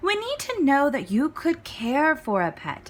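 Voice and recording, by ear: A woman uses a put-on character voice with a high pitch. Her pitch swings very widely, and she talks at a fairly slow pace.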